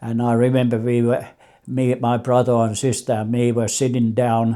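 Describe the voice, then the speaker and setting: Over a very clean recording with a silent background, a man speaks in a Finnish accent. His medium-pitched voice has a dark, mellow tone and a monotone, flat intonation. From Finland. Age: 80s+. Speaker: immigrant grandfather. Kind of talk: life story interview. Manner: halting.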